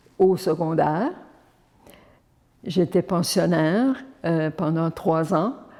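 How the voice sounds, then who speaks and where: A woman's dark, mellow, fairly low voice with ordinary pitch variation, a very slow pace, and long, frequent pauses. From Prince Edward Island, Acadian community. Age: 80s+. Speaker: nun. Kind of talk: personal testimony.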